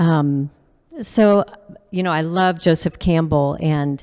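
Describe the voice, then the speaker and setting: This woman's voice is very deep and low, with a dark, mellow tone. She speaks at a fairly slow pace with ordinary pitch variation. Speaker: church parishioner presenter, singer and music therapist. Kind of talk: personal talk to a church audience. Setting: church hall with audience and livestream. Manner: halting, with many fillers.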